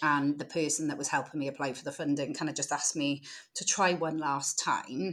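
Speaking with a British accent, a woman with a very deep, low voice talks at a fairly quick pace in fairly even intonation, on a very clean recording with a silent background. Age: 30s. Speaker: social enterprise founder, former social worker. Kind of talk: casual interview.

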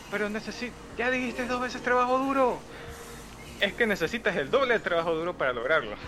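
Raising and projecting his high voice, a man talks at a very fast pace with lively intonation and long, frequent pauses. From Ecuador. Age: young. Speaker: podcast community member. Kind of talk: casual chat.

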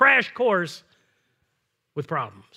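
A man's raised, projected voice, bright and sharp in tone, at a moderate pace on a very clean recording with a silent background. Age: 50s. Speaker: pastor. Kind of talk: sermon.

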